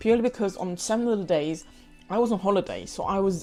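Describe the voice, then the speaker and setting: Someone speaks at a very fast pace in a London accent with fairly even intonation. Music plays in the background. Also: woman. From London, UK. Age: 20s. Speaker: pre-qualified lawyer and vlogger. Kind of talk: casual talk to camera.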